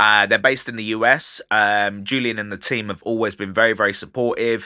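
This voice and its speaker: A man's fairly low, bright and sharp voice in a southern English accent, animated in tone and fairly quick in pace. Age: 30s. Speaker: podcast host and DJ. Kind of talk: casual podcast monologue. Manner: fast.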